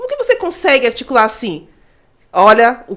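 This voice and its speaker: A woman with a fairly high voice talks in an animated tone with lively intonation. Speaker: podcast co-host. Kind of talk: casual podcast chat. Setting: studio, live stream. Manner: articulate.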